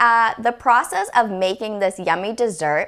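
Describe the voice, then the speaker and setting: A woman with a Boston accent, fairly high in pitch and moderate in pace, in a very clean recording with a silent background. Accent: Bostonian. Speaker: cooking show host. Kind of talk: cooking tutorial.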